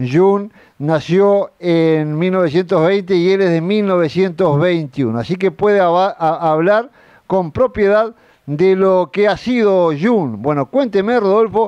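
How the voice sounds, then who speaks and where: A man speaks at a fairly slow pace with a high pitch. His loudness stays very even, and his pitch varies in an ordinary way. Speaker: TV farm program host. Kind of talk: interview; TV program presenting. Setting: outdoors at the railway station.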